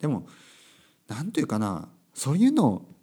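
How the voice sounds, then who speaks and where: With very wide pitch swings, a man talks in a very clean recording over a silent background. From Japan, Kyushu. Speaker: English and Japanese teacher, podcast host. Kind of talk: casual monologue podcast. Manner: loud, passionate; many fillers and self-corrections.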